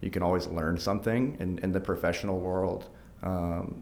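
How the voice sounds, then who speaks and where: A man's very deep, low voice with an American accent, plus audible room echo. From Arkansas, US South. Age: 30s. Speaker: nonprofit team member. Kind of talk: podcast interview.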